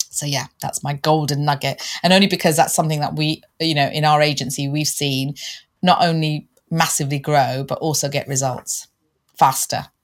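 The speaker has a London accent and a moderate pace. The intonation is monotone and flat. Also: woman, very deep, low pitch for a woman. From London, England. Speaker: LinkedIn coach and podcast co-host. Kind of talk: casual interview chat.

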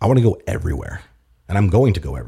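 A man with a dark, mellow tone talks at a very fast pace, somewhat breathy. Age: 30s. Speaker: business owner. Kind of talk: interview conversation. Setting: studio.

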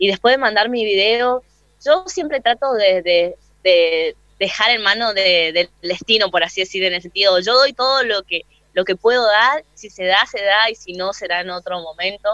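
A normal speaking voice from a woman, medium in pitch, at a moderate pace with ordinary pitch variation. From Posadas, Misiones, northern Argentina. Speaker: rapper and freestyler. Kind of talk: radio interview.

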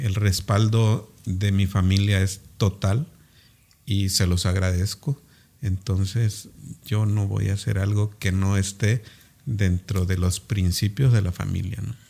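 A man's somewhat breathy voice, fairly low in pitch, with fairly even intonation and a very slow pace. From Cintalapa, Chiapas, Mexico. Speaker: dentist and local political hopeful. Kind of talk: interview.

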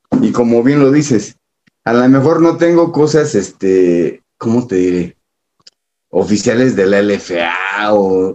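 In a Mexico City accent, the voice moves at a very slow pace with a dark, mellow tone, lively intonation and very even loudness. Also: man, medium pitch for a man. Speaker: American football superfan. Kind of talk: casual chat.

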